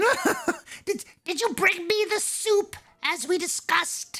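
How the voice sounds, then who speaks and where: In a put-on character voice with an extremely high pitch, someone cackles at a very slow pace over faint music in the background. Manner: demanding, comic.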